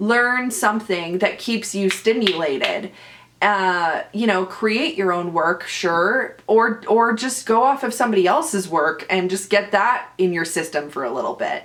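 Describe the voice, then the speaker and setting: The speaker moves at a fairly slow pace. Their intonation is lively. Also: woman, medium pitch for a woman. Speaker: actor and podcast host. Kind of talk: casual chat. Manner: loud.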